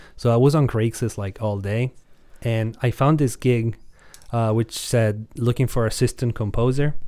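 On a very clean recording with a silent background, a man with an Italian accent speaks in a dark, mellow tone at a medium pitch and moderate pace, with fairly even intonation. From Italy. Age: 20s. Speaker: music producer and YouTuber. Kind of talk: casual chat.

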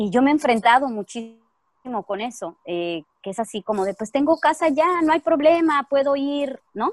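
A woman's voice swings very widely in pitch at a moderate pace, captured with a dry, close sound and no echo. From Mexico. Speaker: actress. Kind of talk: casual chat.

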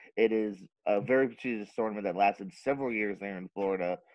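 This man speaks at a very fast pace with a medium pitch. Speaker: podcast host. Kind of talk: casual interview chat.

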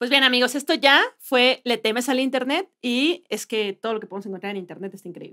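A woman with a high, bright, sharp voice talks at a fairly quick pace with hardly any pauses, lively intonation and big swings in loudness, the sound dry and close with no echo. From Mexico, Puebla. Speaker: comedian and podcast co-host. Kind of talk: casual comedic chat.

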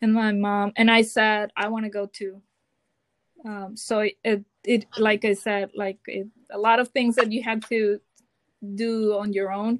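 A woman with a Mexican accent speaks at a fairly slow pace in a fairly high voice, her intonation monotone and flat, with long, frequent pauses and a dry, close sound with no echo. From Mazatlan, Sinaloa, Mexico. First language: Spanish. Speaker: Spanish teacher and doctoral student. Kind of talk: casual interview chat.

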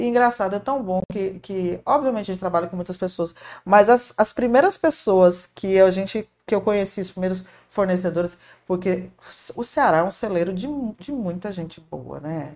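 A woman's medium-pitched voice with ordinary pitch variation and big swings in loudness, at a moderate pace, in a very clean recording with a silent background. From Paraná, southern Brazil. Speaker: shopping mall marketing manager. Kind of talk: podcast interview.

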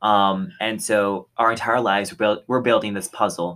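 On a very clean recording with a silent background, a man with a fairly low pitch talks at a moderate pace in a normal speaking voice. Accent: American. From Texas. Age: young. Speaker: podcast co-host, college student. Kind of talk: casual chat.

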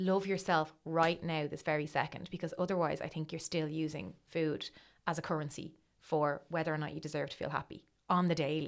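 With a Dublin accent and vocal fry, a woman talks fairly quickly in a very deep, low pitch and fairly even intonation, captured in a very clean recording with a silent background. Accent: Dublin Irish. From Dublin, Ireland. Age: 30s. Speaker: writer and blogger. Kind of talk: casual interview chat.

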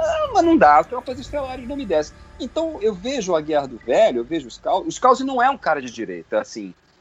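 Fairly quick speech with hardly any pauses over music in the background. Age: 50s. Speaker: sci-fi writer and commentator. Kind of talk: casual chat. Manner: animated.

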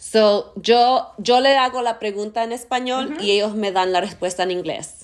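A woman with an ordinary speaking voice talks at a fairly high pitch and moderate pace. Her intonation is lively, with hardly any pauses. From US, Argentine roots. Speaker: podcast host. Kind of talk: casual interview. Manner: code-switching English and Spanish.

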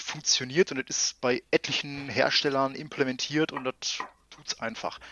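At a moderate pace, a man speaks in a normal speaking voice with fairly high pitch and fairly even intonation. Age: 30s. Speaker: IT infrastructure consultant. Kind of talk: casual chat.

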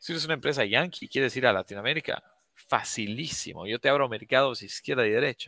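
The man's voice has a bright, sharp tone at medium pitch, recorded with a dry, close sound and no echo. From Bolivia. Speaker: sales company founder. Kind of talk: webinar interview. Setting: online livestream.

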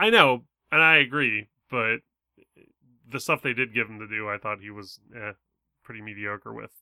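A man with a bright, sharp tone and a fairly low pitch speaks at a moderate pace with ordinary pitch variation. His loudness swings widely, and he takes long, frequent pauses. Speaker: podcast co-host. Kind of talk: casual chat.

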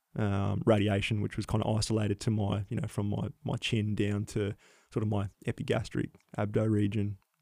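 A man with an Australian accent speaks at a fairly low pitch and a fairly quick pace, his tone dark and mellow and his intonation flat and monotone, in a very clean, silent recording with a dry, close sound and no echo. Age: 30s. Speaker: paramedic and former soldier. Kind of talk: interview, personal testimony.

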